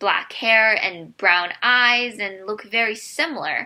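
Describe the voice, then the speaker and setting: A woman with a Korean accent speaks at a fairly slow pace with a fairly high pitch and a bright, sharp tone. The recording is very clean, with a silent background. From South Korea, moved to US at 10. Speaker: immigrant sharing personal story. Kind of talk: personal testimony.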